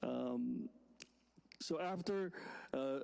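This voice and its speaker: High-pitched male speech with a dark, mellow tone, in a Vietnamese accent. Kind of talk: sermon. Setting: church. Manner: halting.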